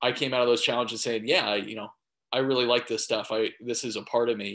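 An American-accented man speaks in a monotone, flat intonation against a quiet background. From Arizona. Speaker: financial advisor; panelist. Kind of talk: panel discussion. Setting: video call. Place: home room. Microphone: video call.

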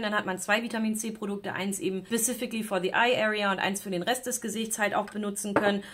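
A woman speaks very fast, and noticeable background noise is present. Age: 30s. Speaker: beauty YouTuber. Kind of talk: product unboxing review; casual vlog chat, product review. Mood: critical, disapproving. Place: home room.

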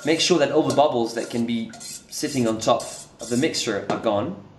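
A man speaks with ordinary pitch variation amid audible room echo and light background noise. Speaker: presenter. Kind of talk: tutorial. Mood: light, cheerful. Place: studio.

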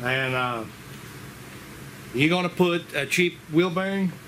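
A man with a high pitch and ordinary pitch variation speaks over noticeable background noise. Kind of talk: tutorial. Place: garage.

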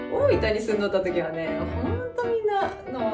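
A woman at a moderate pace over loud background music. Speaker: mother vlogger. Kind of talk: casual talk to camera. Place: home room. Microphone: camera far.

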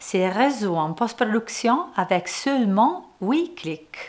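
A woman speaks very slowly at a fairly high pitch with very wide pitch swings. The background is quiet. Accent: Italian. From Italy. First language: Italian (speaking French). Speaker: photographer and software trainer; software trainer. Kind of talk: tutorial. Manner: friendly, smiling delivery. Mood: friendly, smiling.

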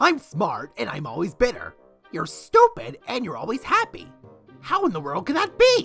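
A woman does a cartoonish character voice at a moderate pace, her medium pitch swinging very widely, with a fairly bright tone, a slightly husky edge and faint music in the background.

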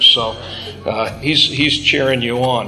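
Against light background noise, a man speaks with ordinary pitch variation. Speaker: Bible class teacher. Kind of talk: lecture. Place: classroom.

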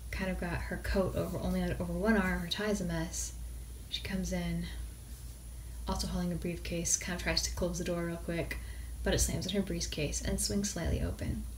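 Over light background noise, a woman speaks in a very deep, low pitch with monotone, flat intonation. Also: moderate pace. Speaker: indie author. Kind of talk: improvised short story reading. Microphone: phone near.

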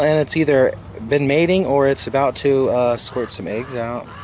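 A man with a fairly high pitch speaks at a moderate pace. The sound is dry with no echo, with light background noise. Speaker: snake handler. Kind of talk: casual talk outdoors. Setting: outdoors. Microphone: phone near.

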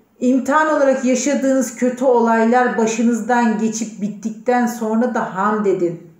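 The speech flows with hardly any pauses and a fairly even intonation. An audible room echo surrounds it. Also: woman, high pitch for a woman, moderate pace, quiet background. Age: 40s. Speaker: personal development participant; letter reader in a personal development program. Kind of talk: recorded video message. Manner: heartfelt, unscripted. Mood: calm, heartfelt, spiritual. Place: office. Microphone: phone near.

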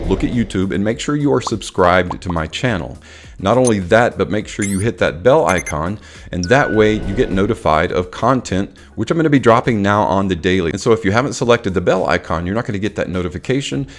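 Music plays in the background as a man talks at a very fast pace with lively intonation. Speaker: fragrance reviewer. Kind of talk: casual vlog chat. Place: home room. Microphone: studio mic.

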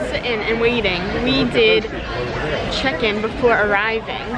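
A woman talks at a moderate pace. Crowd noise fills the background. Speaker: family travel vlogger. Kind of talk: casual vlog chat. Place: hall. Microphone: phone near.

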